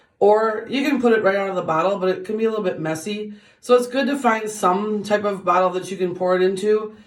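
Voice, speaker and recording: A woman talks very fast with hardly any pauses. Room echo can be heard. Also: medium pitch for a woman, ordinary pitch variation. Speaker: beauty vlogger. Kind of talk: tutorial. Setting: bathroom. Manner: casual, with many fillers.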